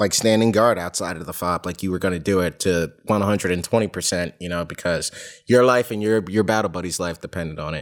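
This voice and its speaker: In a very clean recording with a silent background, a man with an American accent speaks. It is a plain, everyday voice, fairly low, with ordinary pitch variation. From New York / New Jersey area. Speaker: war veteran. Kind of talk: casual chat.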